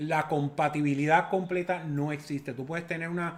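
A man uses a normal speaking voice with fairly high pitch and fairly even intonation. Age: 50s. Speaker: father of the host. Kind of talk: casual chat.

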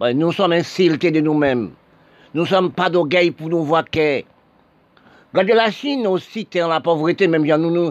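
A man's high pitch, ordinary pitch variation, moderate pace and long, frequent pauses. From Haiti. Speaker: political commentator. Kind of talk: monologue.

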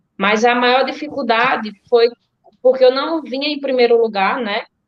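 A woman speaks with a high voice. Her intonation stays fairly even. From Alagoas, Brazil (Delmiro Gouveia). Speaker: marathon runner. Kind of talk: interview. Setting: video call.

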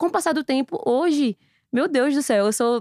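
A woman's voice with very wide pitch swings, dry and close with no echo, on a very clean recording with a silent background. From Recife, Brazil. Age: 30s. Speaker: influencer marketing entrepreneur. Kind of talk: casual interview.

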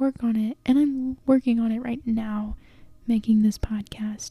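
A soft-spoken woman with a fairly high pitch and a dark, mellow tone is heard in a dry, close sound with no echo. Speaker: solo podcaster. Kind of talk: casual personal monologue. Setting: sitting in bed at home. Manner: soft-spoken, talking quietly; filler-heavy, casual.

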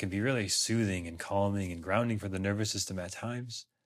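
A man's plain, everyday voice, fairly low in pitch and at a fairly quick pace. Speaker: yoga teacher. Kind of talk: guided yoga class instruction.

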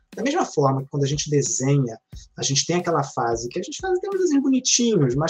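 A man's somewhat breathy voice. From Rio de Janeiro, west zone. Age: 30s. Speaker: academic and novelist. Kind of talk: podcast interview. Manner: halting, many repeated words.

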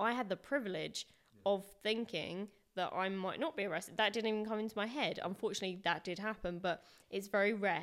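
Fairly quick speech from a woman with an English accent, ordinary pitch variation, in a very clean recording with a silent background. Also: medium pitch for a woman. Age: 30s. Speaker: activist. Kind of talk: casual interview.

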